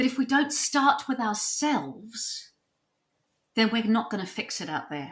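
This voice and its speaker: This woman's voice is fairly high, with very wide pitch swings and vocal fry. She speaks at a fairly slow pace. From New Zealand. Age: 60s. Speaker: psychotherapist and author. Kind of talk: podcast interview.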